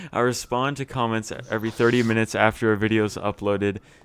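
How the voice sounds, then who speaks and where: His intonation is flat and monotone. The man's voice sits fairly low. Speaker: gaming youtuber. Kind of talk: gameplay tutorial; casual chat. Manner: stumbling over words.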